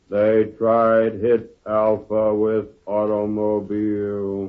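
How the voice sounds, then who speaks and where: A man uses a put-on character voice at a fairly low pitch. He speaks very slowly in a flat, monotone way. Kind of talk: 1940s radio acting. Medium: old radio play.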